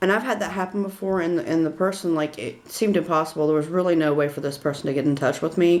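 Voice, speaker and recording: Her voice carries a Southern US accent. The woman speaks at a fairly low pitch with fairly even intonation. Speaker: witchcraft tutorial creator. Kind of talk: tutorial. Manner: casual, hesitant with fillers.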